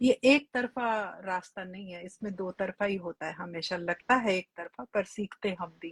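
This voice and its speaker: A woman with a plain, everyday voice speaks at a medium pitch with ordinary pitch variation, in a dry, close sound with no echo. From India, Delhi. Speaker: regression therapist and life coach. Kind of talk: live stream conversation. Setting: online live stream.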